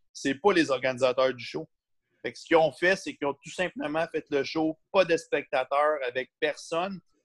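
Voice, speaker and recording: With a Quebec accent, a man speaks at a moderate pace in a fairly high voice, with ordinary pitch variation and big swings in loudness. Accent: Québécois French. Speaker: competitive bodybuilder and coach. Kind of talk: casual interview.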